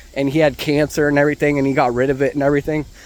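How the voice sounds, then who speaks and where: A man speaks with monotone, flat intonation. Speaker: fitness vlogger. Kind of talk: casual walking vlog. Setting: outdoors, walking. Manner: halting, stumbling; casual, filler-heavy.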